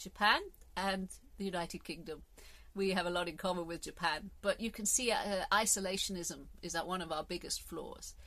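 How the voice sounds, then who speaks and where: Bright and sharp in tone, a woman with a southern British accent speaks fairly quickly at a medium pitch with ordinary pitch variation. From England. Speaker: podcast host. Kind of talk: solo monologue podcast. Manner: animated, halting with repetitions.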